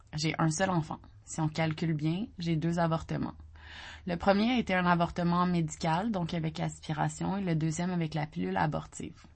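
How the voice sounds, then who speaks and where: With a Quebec accent, a woman talks at a moderate pace in a somewhat breathy, fairly low voice with ordinary pitch variation. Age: 30s. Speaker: newsletter writer. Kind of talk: reading aloud.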